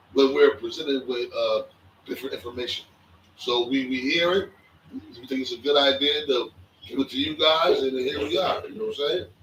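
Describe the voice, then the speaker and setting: There is noticeable background noise here. A man speaks at a fairly quick pace. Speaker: podcast co-host. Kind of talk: casual chat. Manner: quiet.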